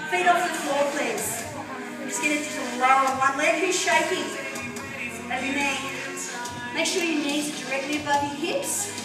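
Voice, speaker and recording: With clear music in the background and audible room echo, a woman speaks at a moderate pace with long, frequent pauses. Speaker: fitness instructor. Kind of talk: exercise class cueing. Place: gym.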